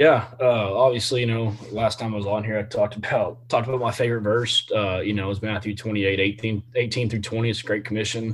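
A man's fairly low, somewhat breathy voice with a Texan accent and monotone, flat intonation. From Central Texas, Temple area. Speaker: high school football coach. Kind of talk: interview. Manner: many filler words.

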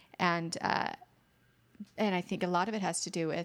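Heard in a very clean recording with a silent background, a woman with an unremarkable speaking voice talks at a moderate pace and medium pitch, her intonation fairly even. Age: 50s. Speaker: esthetician and chronic illness patient. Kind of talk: casual interview.

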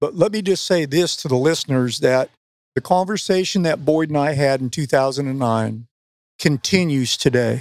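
A man with an ordinary speaking voice, fairly high pitch, ordinary pitch variation and a moderate pace. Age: 60s. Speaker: professional angler and fishing league founder. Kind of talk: casual interview. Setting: backstage at a fishing tournament event.

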